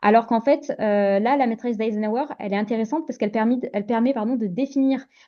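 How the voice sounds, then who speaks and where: A woman's fairly high pitch shows ordinary pitch variation as she talks at a fairly quick pace. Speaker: mindset coach for entrepreneurs. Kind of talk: webinar presentation. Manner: fast; hesitant, many fillers.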